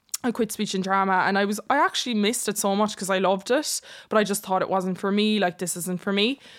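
On a very clean recording with a silent background, a woman with an Irish accent speaks very fast with fairly even intonation. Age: 20s. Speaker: social media content creator. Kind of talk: casual interview chat.

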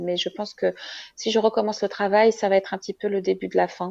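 A woman talks at a moderate pace, the background around her quiet. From Morocco. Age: 30s. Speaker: mother of triplets, marketing professional. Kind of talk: testimony. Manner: halting.

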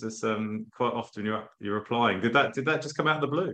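A man talks at a fairly quick pace in an unremarkable speaking voice. His pitch is medium, with ordinary pitch variation. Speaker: podcast host. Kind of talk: casual interview. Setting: video call.

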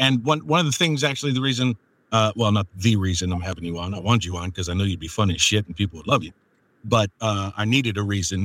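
Very fast and fairly low in pitch, a man's voice comes through a very clean recording with a silent background and a dry, close sound with no echo. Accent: American. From US Northeast. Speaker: podcast host and audiobook narrator. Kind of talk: casual chat.

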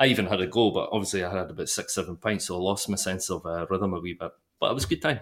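Very fast and fairly low-pitched, a man with a Dundee accent speaks with ordinary pitch variation in a very clean recording over a silent background. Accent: Scottish (Dundee). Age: 30s. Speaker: football podcast co-host. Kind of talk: casual chat.

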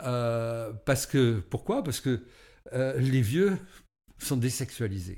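Long, frequent pauses mark a man's very slow speech, his dark, mellow voice at medium pitch with ordinary pitch variation. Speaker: association founder. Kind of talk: interview. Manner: halting.

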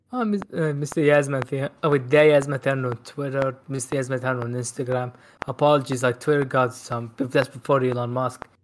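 Delivered at a moderate pace with hardly any pauses, this is a normal speaking voice with fairly even intonation. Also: man, medium pitch for a man. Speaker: guest film fan. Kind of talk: casual chat.

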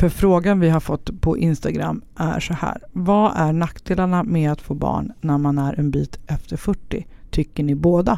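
A woman speaks with a fairly low pitch and a dark, mellow tone. Her pitch variation is ordinary. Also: fairly slow pace. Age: 40s. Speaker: podcast host. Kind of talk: casual chat. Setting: temporary studio.

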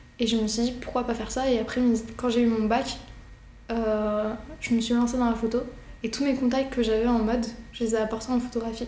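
Fairly quick yet with long, frequent pauses, a woman speaks in a fairly high, monotone, flat voice at very even loudness, with audible room echo and noticeable background noise. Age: 20s. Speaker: fashion photographer. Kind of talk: casual interview monologue. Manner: hesitant, with fillers.

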